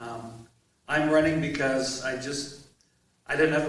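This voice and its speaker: The intonation is flat and monotone. Room echo is audible. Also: man. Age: 60s. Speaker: mayoral candidate, Air Force veteran. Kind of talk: candidate forum introduction.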